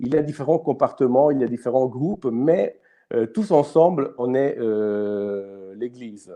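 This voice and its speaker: Very slowly, a man with an Italian accent speaks at a fairly high pitch. His tone is dark and mellow, and his intonation is lively. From Italy. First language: Italian (speaking French). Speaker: youth ministry host. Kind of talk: live stream talk. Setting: live online stream. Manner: halting, many fillers and repetitions.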